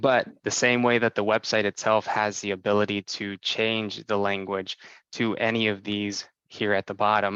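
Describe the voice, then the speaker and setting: A man talks at a moderate pace in a fairly low pitch with monotone, flat intonation. His tone is bright and sharp, in a dry, close sound with no echo. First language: Spanish. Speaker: software sales presenter. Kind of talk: product demo presentation.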